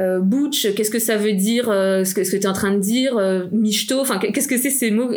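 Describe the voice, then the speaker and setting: Noticeable background noise and audible room echo fill this clip. A woman talks at a fairly quick pace with a fairly high pitch. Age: 30s. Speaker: nonprofit manager. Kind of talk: interview.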